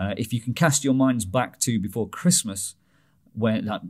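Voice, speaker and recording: A man at a moderate pace over a quiet background. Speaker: podcast host. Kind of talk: podcast chat. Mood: light, joking. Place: studio. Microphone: studio mic.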